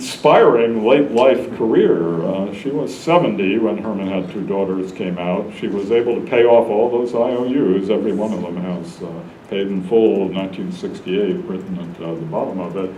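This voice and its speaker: With an American accent, a man talks at a moderate pace and fairly low pitch, with ordinary pitch variation and hardly any pauses, amid audible room echo and noticeable background noise. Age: 70s. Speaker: history professor. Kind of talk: lecture. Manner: halting, many filler words.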